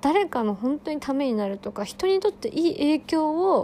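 Against noticeable background noise, a woman with a high pitch talks at a moderate pace, her voice making very wide pitch swings. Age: 20s. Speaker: podcaster and spiritual session practitioner. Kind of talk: casual solo monologue.

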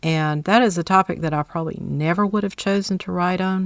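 In a very clean recording with a silent background, a woman talks with a Southern US accent. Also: dry, close sound with no echo. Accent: gorgeous Southern US. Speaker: author, speaker and caregiver. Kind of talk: interview.

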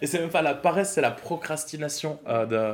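A man's ordinary speaking voice at a moderate pace, with lively intonation. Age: 30s. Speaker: stand-up coach. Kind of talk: casual chat.

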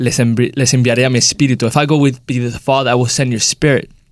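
The intonation is monotone and flat. It is a man who talks. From United States. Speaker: church leader and speaker.

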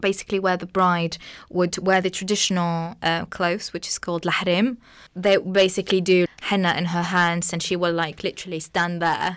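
A woman with an Arabic accent speaks at a fairly low pitch and a moderate pace, her intonation monotone and flat. The recording is very clean, with a silent background. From Tunisia, small coastal town. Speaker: journalism student. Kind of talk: casual chat.

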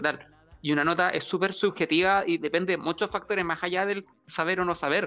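Speaking with a Chilean accent, a man uses a high pitch and fairly even intonation. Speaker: podcast co-host. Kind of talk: casual chat. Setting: live stream. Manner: loud.

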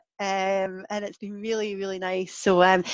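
Someone speaks with a Scottish accent against a quiet background. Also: woman. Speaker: podcast host. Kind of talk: podcast interview.

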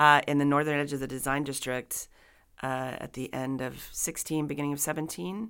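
In a very clean recording with a silent background, a woman speaks at a moderate pace with a very deep, low pitch and ordinary pitch variation. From Dallas, Texas. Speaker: actress and theater director. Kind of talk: casual interview. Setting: community center.

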